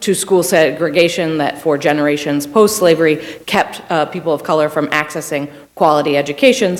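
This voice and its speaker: A woman's very deep, low voice at a fairly quick pace, with ordinary pitch variation and noticeable background noise. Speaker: public defender, panelist. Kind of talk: panel talk. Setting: university panel with audience.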